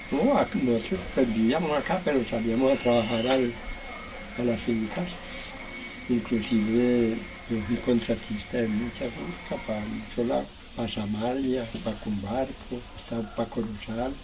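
Ordinary pitch variation marks this fairly slow delivery. Audible room echo and noticeable background noise are present. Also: man, medium pitch for a man. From Valle del Cauca, Colombia (Sevilla). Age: 70s. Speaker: farmer. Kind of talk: testimony.

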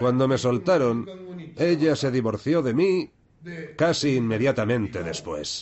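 A man at a fairly high pitch with very wide pitch swings, at a moderate pace, over noticeable background noise. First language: Japanese (speaking Spanish). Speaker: former yakuza debt collector. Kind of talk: documentary interview.

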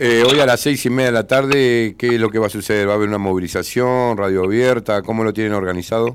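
A man at medium pitch talking very fast, with fairly even intonation and hardly any pauses. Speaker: radio host. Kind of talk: radio interview.

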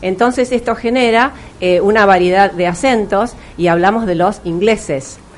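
Over noticeable background noise, a woman speaks with very even loudness. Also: medium pitch for a woman, ordinary pitch variation, moderate pace. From Argentina, Río de la Plata region. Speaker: English teacher and educator. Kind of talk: interview.

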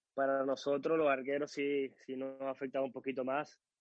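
The man speaks in a fairly high pitch. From Venezuela, Caracas. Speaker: footballer, goalkeeper. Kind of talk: interview.

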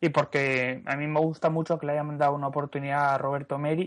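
Over a quiet background, a normal speaking voice proceeds at a moderate pace. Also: man. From Asturias, Spain. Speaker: podcast panelist. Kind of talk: casual chat.

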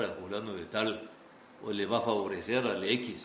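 A man's speech is heard with noticeable noise behind it and audible echo from the room. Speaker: radio station director and owner. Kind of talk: interview. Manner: hesitant, with repetitions.

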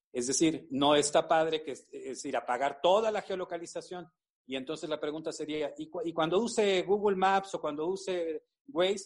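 A man's high-pitched voice at a moderate pace. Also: ordinary pitch variation. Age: 50s. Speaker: university professor. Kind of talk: expert interview. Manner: halting, many fillers and repetitions.

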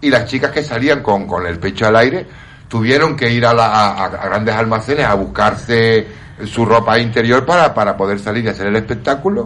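At a moderate pace, a man speaks in an ordinary speaking voice of medium pitch with ordinary pitch variation. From Canary Islands. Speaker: entertainer and radio panelist. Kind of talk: casual chat.

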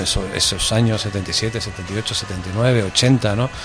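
A man's medium-pitched voice is heard over noticeable background noise. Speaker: radio presenter. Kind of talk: casual interview.

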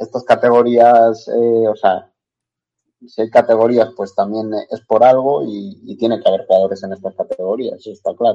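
Dark, mellow male voice with ordinary pitch variation, at a moderate pace. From northwestern Spain, El Bierzo (León). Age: 20s. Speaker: footballer. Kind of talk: interview.

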